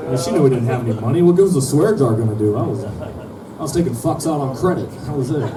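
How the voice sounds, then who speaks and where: A man with an American accent talks very fast with hardly any pauses, his medium-pitched voice lively in intonation, amid audible room echo and crowd noise in the background. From Minnesota, small town. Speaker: comedian. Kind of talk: stand-up. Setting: stage with audience.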